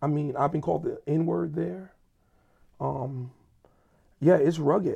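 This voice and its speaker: Speaking at a fairly slow pace, a man with a fairly high pitch uses lively intonation in a dark, mellow, somewhat breathy tone. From US urban neighborhood. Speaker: pastor and church planting network leader. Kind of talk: casual chat.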